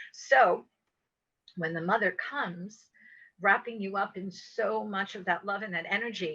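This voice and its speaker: A woman's bright, sharp voice of medium pitch, fairly even in intonation, at a fairly slow pace with long, frequent pauses. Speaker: spiritual teacher and light language channeler. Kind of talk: interview.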